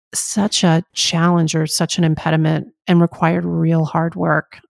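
At a fairly slow pace, a woman with an unremarkable speaking voice talks in a fairly low pitch, with a dry, close sound with no echo. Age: 50s. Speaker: actor and talk show host. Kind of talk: casual interview.

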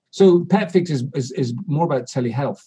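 A man with a medium pitch and a dark, mellow, somewhat breathy tone speaks at a moderate pace with lively intonation. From Scotland. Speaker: veterinarian and media commentator. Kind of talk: casual interview chat.

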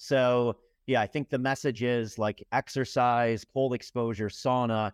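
A plain, everyday voice with fairly even intonation, in a dry, close sound with no echo over a quiet background. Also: man. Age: 40s. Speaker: endurance athlete and entrepreneur. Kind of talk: casual interview.

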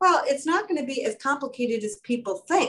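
Her intonation lively, a woman talks. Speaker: kidney stone prevention nurse. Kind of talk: casual chat. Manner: animated.

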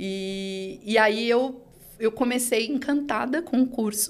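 An ordinary speaking voice from a woman, fairly high in pitch, with ordinary pitch variation. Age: 40s. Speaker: digital channels executive at a bank. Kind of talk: interview.

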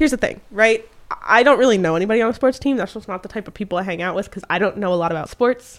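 Speaking at a very fast pace, a woman holds a medium pitch with ordinary pitch variation. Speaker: podcast co-host. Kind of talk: casual chat.

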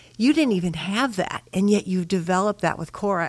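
An ordinary speaking voice, a woman with an American accent, medium pitch and a moderate pace. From Chicago, Illinois. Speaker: church member, parent. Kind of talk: casual chat.

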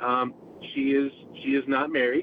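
Over noticeable background noise, a man at medium pitch speaks at a moderate pace in a flat monotone. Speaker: caller. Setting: in a car; phone call.

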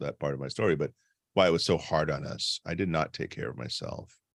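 In a very clean recording with a silent background and dry, close sound without echo, a man with a very deep, low pitch and vocal fry talks at a fairly quick pace. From Caribbean immigrant household. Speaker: executive and leadership coach. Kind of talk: casual chat.

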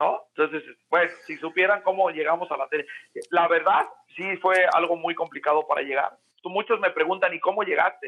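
Speaking at a moderate pace, a man with a high voice keeps his intonation fairly even. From Mexico, Oaxaca. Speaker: sports journalist. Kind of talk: casual chat. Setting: remote call.

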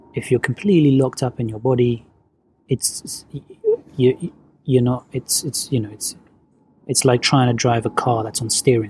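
A man speaks at a moderate pace with fairly even intonation, a somewhat breathy voice, and long, frequent pauses. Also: medium pitch for a man. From London, England (born in Venezuela). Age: 30s. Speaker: movement coach. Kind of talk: casual chat.

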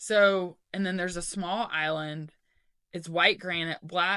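A woman speaks with a fairly low pitch and a bright, sharp tone. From Knoxville, Tennessee. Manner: excitable, enthusiastic.

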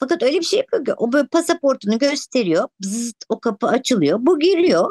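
The voice moves at a moderate pace with very wide pitch swings, heard in a dry, close sound with no echo. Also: woman. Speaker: podcast co-host. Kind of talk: casual chat. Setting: video call. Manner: playful, giggly.

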